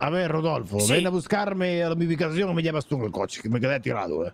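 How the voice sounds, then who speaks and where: Putting on a character voice, a man speaks gruffly and menacingly at a very fast pace in a fairly high pitch with lively intonation. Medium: machinima. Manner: menacing, gruff.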